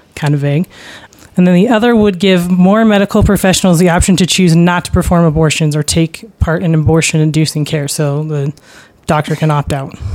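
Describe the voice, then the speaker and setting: A woman talks at a fairly quick pace in a normal speaking voice. Her pitch is fairly low and shows ordinary variation. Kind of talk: casual discussion. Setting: studio.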